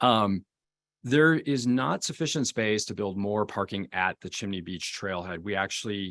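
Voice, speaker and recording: A man with an American accent, fairly low in pitch and lively in intonation, at a moderate pace, on a very clean, dry, close recording with no echo and a silent background. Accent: Wisconsin accent, slight, shows when nervous. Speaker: forest service engineer. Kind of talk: public meeting testimony. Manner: halting, with fillers.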